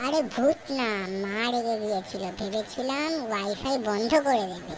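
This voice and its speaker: A female-sounding, cartoonish character voice with a fairly high pitch. She talks at a moderate pace over clear background noise. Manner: excitable, dramatic.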